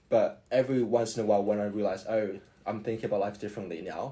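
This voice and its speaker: A man speaks with an Australian accent and a dark, mellow tone. His pitch is fairly low and his intonation fairly even. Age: 20s. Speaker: university student. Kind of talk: podcast interview. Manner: halting.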